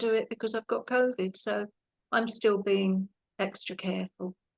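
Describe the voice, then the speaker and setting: A woman speaks with a British accent in a monotone, flat intonation. The sound is dry and close with no echo. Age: 60s. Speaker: actress and former police officer. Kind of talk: interview.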